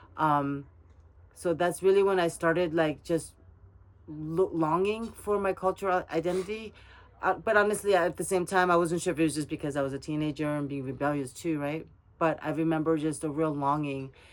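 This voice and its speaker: A woman speaks with a Korean accent at a fairly low pitch. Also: ordinary pitch variation, fairly quick pace. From South Korea, raised in US from age ten. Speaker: Korean adoptee interviewee. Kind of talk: personal interview. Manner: casual, hesitant with fillers and restarts.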